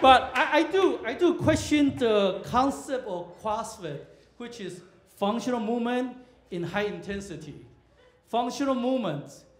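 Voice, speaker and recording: With audible room echo, a man speaks at an extremely high pitch and a fairly slow pace. His pitch swings very widely and his loudness varies greatly. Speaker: comedian. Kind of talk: stand-up comedy set at a comedy club. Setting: stage with audience. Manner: storytelling build-ups punctuated by abrupt punchlines; halting, filler-heavy delivery with frequent uhs and restarts. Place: stage.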